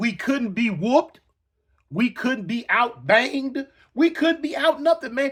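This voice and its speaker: With an extremely high pitch and lively intonation, a man speaks at a fairly slow pace. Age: 60s. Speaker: former gang member storyteller. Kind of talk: storytelling monologue. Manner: repetitive, halting; animated.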